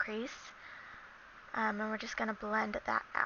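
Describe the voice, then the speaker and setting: A woman talks with a fairly high pitch. Noticeable background noise runs underneath. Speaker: beauty vlogger. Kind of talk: makeup tutorial voiceover. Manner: casual, chatty.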